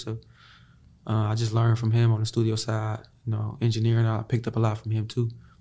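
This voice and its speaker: At a very fast pace, a man speaks at medium pitch in a somewhat breathy voice with a dark, mellow tone. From Chicago. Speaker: R&B singer. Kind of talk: casual interview.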